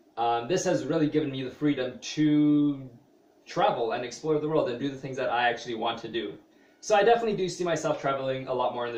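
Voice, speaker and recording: Amid noticeable background noise and audible room echo, a man talks at a very fast pace. His pitch is fairly high. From Canada (Toronto area). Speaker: vlogger, small business owner. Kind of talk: personal vlog monologue. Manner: hesitant, many fillers.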